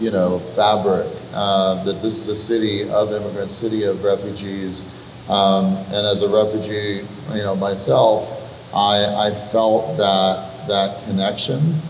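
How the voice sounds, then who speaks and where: A man with a fairly low pitch speaks at a fairly slow pace and fairly even intonation. Audible room echo and noticeable background noise are present. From Iran. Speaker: venture capitalist. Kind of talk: panel conversation.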